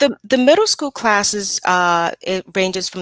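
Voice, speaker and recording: Recorded very cleanly against a silent background, with a dry, close sound and no echo, a woman with an American accent speaks at a medium pitch with ordinary pitch variation in a plain, everyday voice. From New Jersey. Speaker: Spanish teacher. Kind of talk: interview answer.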